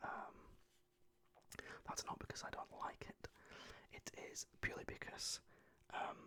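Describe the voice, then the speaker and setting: Whispering in a British accent, a man talks at a fairly slow pace. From United Kingdom. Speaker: ASMR creator. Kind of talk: casual talk to camera. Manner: whispered, soft-spoken.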